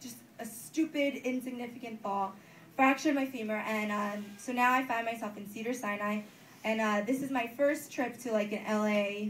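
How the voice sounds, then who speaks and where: At a moderate pace, a speaker with an American accent talks with fairly even intonation in a room with audible echo. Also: woman. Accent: New Jersey, comes and goes. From New Jersey. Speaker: comedian. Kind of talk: stand-up. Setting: stage with audience. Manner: casual, many fillers.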